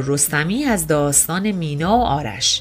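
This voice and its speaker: The speaker is a woman. Music plays in the background. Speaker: podcast narrator. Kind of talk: scripted narration.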